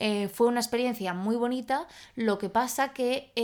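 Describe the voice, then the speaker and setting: Very clean recording with a silent background, where a woman speaks in a normal speaking voice at a fairly high pitch. Her pace is moderate and her intonation fairly even. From Spain, Salamanca. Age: 20s. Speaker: podcast co-host. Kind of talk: casual chat.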